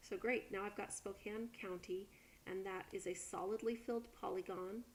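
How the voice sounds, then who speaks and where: In a plain, everyday voice, a woman talks at a moderate pace with medium pitch and fairly even intonation. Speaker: college instructor. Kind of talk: tutorial. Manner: casual with many fillers.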